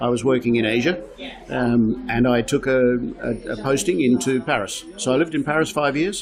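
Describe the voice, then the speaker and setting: A man talks at a moderate pace with ordinary pitch variation. Music plays in the background. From Australia. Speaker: real estate agent. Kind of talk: interview. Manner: conversational, many fillers.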